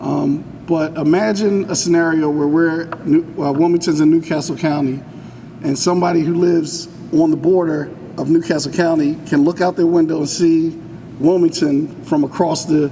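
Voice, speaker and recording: Through noticeable background noise, a man at a fairly high pitch speaks at a moderate pace with monotone, flat intonation. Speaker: housing authority director. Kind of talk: public speech. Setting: community center event, no mic. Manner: loud.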